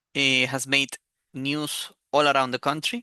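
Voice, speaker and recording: Against a quiet background, a speaker with a Spanish accent talks at a fairly slow pace. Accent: Spanish accent, self-described as very bad. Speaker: football commentator youtuber. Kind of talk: opinion monologue. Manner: hesitant, many fillers.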